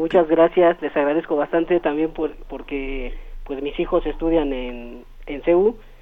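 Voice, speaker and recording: A man with a plain, everyday voice, fairly high in pitch with ordinary pitch variation, speaks at a fairly slow pace. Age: 40s. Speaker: caller. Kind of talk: phone-in chat.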